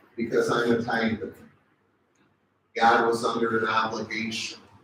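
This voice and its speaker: With an American accent, the man talks at a medium pitch. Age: 60s. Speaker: seminar speaker, pastor. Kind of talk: seminar teaching. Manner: animated.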